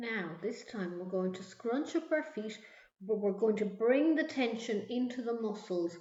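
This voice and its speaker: With an Irish accent, a woman speaks fairly slowly in a fairly high voice with lively intonation, and the room echo is audible. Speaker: mindfulness instructor. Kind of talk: guided meditation. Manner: soft-spoken.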